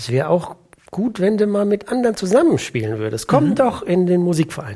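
Somewhat breathy, a man's voice carries a dark, mellow tone and very wide pitch swings. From Germany, Siegerland. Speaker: orchestra percussionist and timpanist. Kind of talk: casual interview chat.

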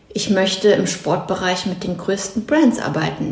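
The recording has audible room echo. Noticeable background noise can be heard too. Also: woman. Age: 30s. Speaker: former social media influencer. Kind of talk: casual chat. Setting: at home in a kitchen.

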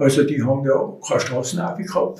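Somewhat breathy, a man speaks at a moderate pace with ordinary pitch variation. Audible room echo surrounds his voice. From Austria, Tyrol (Innsbruck-Mühlau). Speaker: contemporary witness, retired municipal utility worker and mountaineer. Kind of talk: oral history interview. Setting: recorded on location at home in the neighbourhood. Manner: halting.

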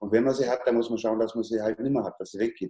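At a very fast pace, a man speaks with a medium pitch and a dark, mellow tone. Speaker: chef and cattle breeder. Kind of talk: interview.

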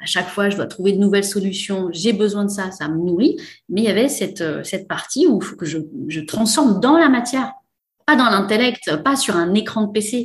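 A woman speaks at a moderate pace with medium pitch. Her voice is somewhat breathy, and her intonation is lively. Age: 40s. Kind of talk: casual interview. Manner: hesitant, many fillers.

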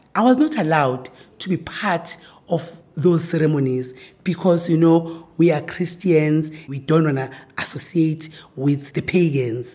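A woman with a Zulu accent speaks at a moderate pace in a fairly low pitch, her voice somewhat breathy. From South Africa, rural KwaZulu-Natal. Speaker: professor. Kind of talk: interview.

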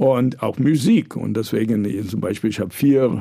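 At a moderate pace, a man talks in a dark, mellow tone with medium pitch and ordinary pitch variation. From New York, US. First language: English (speaking German). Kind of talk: interview conversation. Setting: studio.

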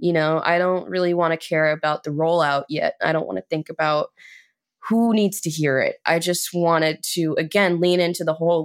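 With an American accent, a woman has an unremarkable speaking voice, fairly low in pitch, at a moderate pace on a very clean recording with a silent background. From Chicago. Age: 20s. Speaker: singer and musician. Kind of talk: interview.

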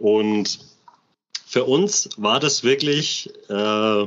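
A man speaks with fairly even intonation at a medium pitch. His is an unremarkable speaking voice. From Bamberg, Franconia, Germany. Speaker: construction metalworker, airsoft gear channel member. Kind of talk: casual interview chat. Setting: in person, guest's man cave.

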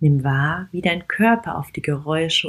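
Somewhat breathy, a woman with a fairly low pitch speaks in a gentle, soothing tone. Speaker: podcast host and meditation guide. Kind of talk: guided walking meditation. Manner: slow, soft-spoken, calm; gentle, soothing, with long pauses.

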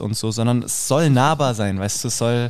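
In a very clean recording with a silent background, a man of medium pitch speaks at a moderate pace with fairly even intonation. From Hesse, Rüsselsheim. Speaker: drama student and actor. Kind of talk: casual chat.

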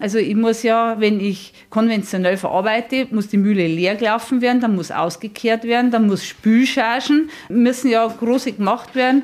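A woman with an ordinary speaking voice talks at a moderate pace in a fairly high pitch, with hardly any pauses and very even loudness. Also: ordinary pitch variation. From Bavaria, near Regensburg. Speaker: miller, mill owner. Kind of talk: interview.

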